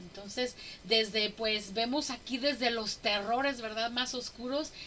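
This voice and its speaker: A woman's fairly high voice at a fairly slow pace, fairly even in intonation, with noticeable background noise. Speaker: women's Bible study teacher. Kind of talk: Bible study teaching.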